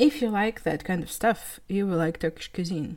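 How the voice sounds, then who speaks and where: A woman talks with a Russian accent in a fairly low voice. Her intonation is lively, and the recording is very clean with a silent background. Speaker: podcast host. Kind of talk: solo podcast monologue.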